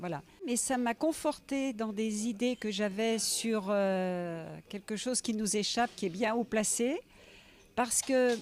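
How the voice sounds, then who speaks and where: On a very clean recording with a silent background, a woman speaks very slowly in a fairly high voice with ordinary pitch variation. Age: 60s. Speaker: writer, biographer. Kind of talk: interview. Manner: hesitant, with many fillers.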